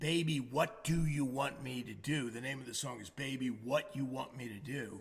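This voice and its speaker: A man speaks at a moderate pace and medium pitch, with hardly any pauses. His voice is somewhat breathy, with ordinary pitch variation. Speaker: singer-songwriter. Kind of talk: casual chat between songs. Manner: hesitant, filler-heavy.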